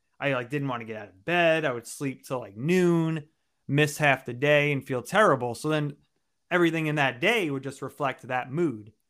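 A man with an ordinary speaking voice and an American accent talks at a moderate pace and fairly high pitch, with ordinary pitch variation and big swings in loudness, in a very clean recording with a silent background. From New York, Long Island. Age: 30s. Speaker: personal development coach. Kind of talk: interview testimony.

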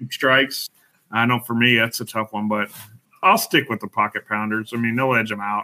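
Here is a man at medium pitch with an American accent and a plain, everyday voice. He talks at a fairly quick pace with fairly even intonation. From Colorado, Denver. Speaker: league bowler. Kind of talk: casual chat.

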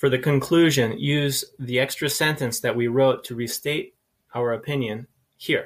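In an American accent, a man with a fairly high pitch and a somewhat breathy voice talks at a moderate pace with ordinary pitch variation on a very clean recording with a silent background. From USA. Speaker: English teacher. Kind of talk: lecture. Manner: measured, clear delivery.

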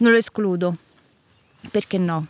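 The sound is dry and close, with no echo. A woman speaks at a medium pitch and a moderate pace. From central Italy (Lazio, Amatrice area). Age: 30s. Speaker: farmer. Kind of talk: interview. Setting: on location.

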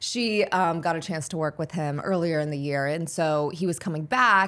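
In a very clean recording with a silent background, a woman with an American accent and an unremarkable speaking voice speaks at a fairly low pitch with ordinary pitch variation. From Pittsburgh, US. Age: 20s. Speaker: social media influencer and actress. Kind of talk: casual podcast interview.

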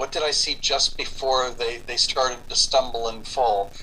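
Noticeable background noise can be heard. The talking goes at a moderate pace. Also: man. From Cuba. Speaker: author and pagan teacher. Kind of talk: interview.

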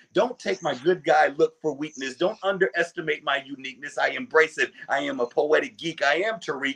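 The man's voice sits fairly high and moves at a fairly quick pace with lively intonation. The sound is dry and close, with no echo. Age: 40s. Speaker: poet and children's author. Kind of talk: spoken word poetry, confessional and boastful slam performance. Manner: rhythmic, punchy emphatic delivery; building intensity, dramatic pauses.

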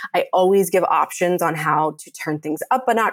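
A woman with an ordinary speaking voice talks at a fairly low pitch with lively intonation, the sound dry and close with no echo. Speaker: fitness founder and instructor. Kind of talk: casual interview chat.

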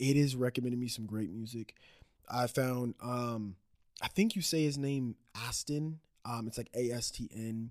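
This is a man with a normal speaking voice at medium pitch. He talks at a moderate pace with ordinary pitch variation. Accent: American. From Dallas area, Texas. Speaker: musician. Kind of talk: casual interview.

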